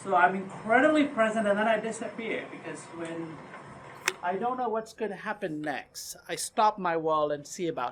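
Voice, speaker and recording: A woman's animated voice with a non-native accent, medium in pitch, with lively intonation, big swings in loudness and a moderate pace, over noticeable background noise. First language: not English. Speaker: meeting facilitator. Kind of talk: casual group discussion. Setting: meeting room with small group, recorded for camera.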